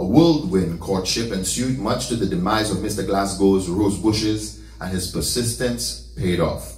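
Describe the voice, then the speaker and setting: A man talks at a fairly slow pace in a fairly low pitch. His pitch swings very widely, and there is audible room echo. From St. Lucia. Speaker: son delivering eulogy. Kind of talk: eulogy at a funeral, storytelling life tribute with scripture and prayer. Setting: church funeral service. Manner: warm, affectionate storytelling with light humor; emotional, heartfelt closing. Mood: warm, solemn storytelling. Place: home room.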